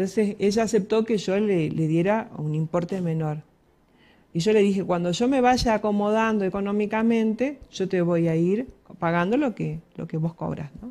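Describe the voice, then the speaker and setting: Her tone dark and mellow, a woman speaks at a moderate pace with ordinary pitch variation. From Argentina. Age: 50s. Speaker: psychologist; guest. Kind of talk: radio interview. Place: studio. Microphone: headset.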